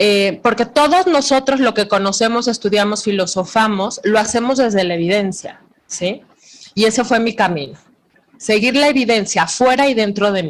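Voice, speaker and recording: With a normal speaking voice, a woman talks at a moderate pace in a fairly high pitch, her intonation lively. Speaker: psychologist and Bible teacher. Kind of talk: lecture.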